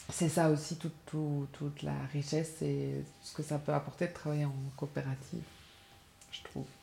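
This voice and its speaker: A woman's voice at a moderate pace with big swings in loudness. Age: 40s. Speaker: freelance graphic designer, cooperative member. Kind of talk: interview. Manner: halting, many repetitions and fillers.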